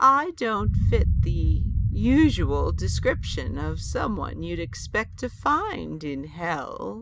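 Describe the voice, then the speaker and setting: A put-on character voice at a very slow pace, with hardly any pauses. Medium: audio drama. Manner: wry, sharp-witted.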